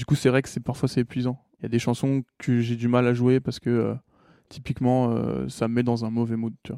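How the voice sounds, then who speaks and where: A man speaks at a fairly quick pace in a medium pitch with a dark, mellow tone. His intonation is monotone and flat, and the sound is dry and close with no echo. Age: 20s. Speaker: singer-songwriter. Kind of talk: interview. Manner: halting, many hesitations.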